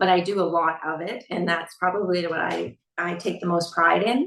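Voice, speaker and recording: Vocal fry runs through this moderately paced speech, which has ordinary pitch variation. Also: woman. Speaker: skating coach. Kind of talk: podcast interview.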